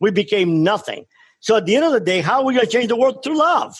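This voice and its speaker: A man with a Miami accent, high in pitch, with lively intonation. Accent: Cuban-American Miami. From Cuba, raised in Miami from age ten. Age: 60s. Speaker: former drug trafficker turned speaker. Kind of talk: radio interview. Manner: impassioned.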